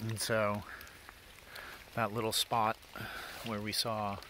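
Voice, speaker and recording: A man is heard over noticeable background noise. The sound is dry, with no echo. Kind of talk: tutorial. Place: forest. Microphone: phone near.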